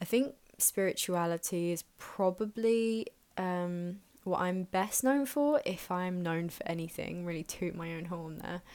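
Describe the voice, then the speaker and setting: Someone with a southern English accent speaks at a fairly slow pace with ordinary pitch variation, recorded very cleanly against a silent background. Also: woman. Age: 20s. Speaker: podcast host. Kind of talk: casual monologue. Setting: home bedroom.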